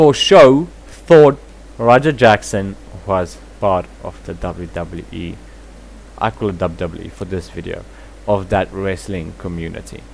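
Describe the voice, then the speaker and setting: A man with a South African accent, his pitch very deep and low, at a fairly slow pace with long, frequent pauses over noticeable background noise. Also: lively intonation. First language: Afrikaans. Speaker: commentary vlogger. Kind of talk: reaction commentary.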